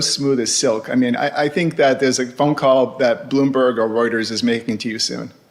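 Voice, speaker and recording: Against noticeable background noise, a man talks at a fairly quick pace in a medium pitch. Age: 60s. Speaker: ocean shipping industry veteran. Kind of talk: casual interview. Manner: hesitant, many fillers.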